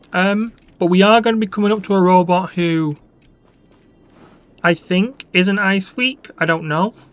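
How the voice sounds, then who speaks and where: Fairly slow, high-pitched speech from a man, with fairly even intonation, long, frequent pauses and music in the background. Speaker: gaming YouTuber. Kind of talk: gameplay commentary. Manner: casual, halting.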